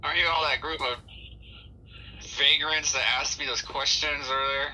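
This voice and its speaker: A man puts on a character voice with a fairly high pitch. He goes at a moderate pace over clear background noise. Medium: actual play.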